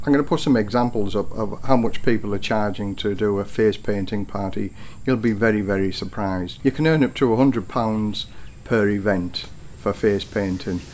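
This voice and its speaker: A man with a British accent, fairly low in pitch, at a moderate pace with ordinary pitch variation. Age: 60s. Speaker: retired careers advice vlogger. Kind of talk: informal tutorial vlog.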